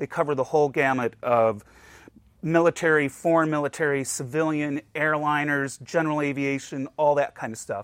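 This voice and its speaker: A man speaks at a moderate pace in a plain, everyday voice. His pitch is fairly high, and his intonation is fairly even. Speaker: museum collections director. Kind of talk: casual interview chat.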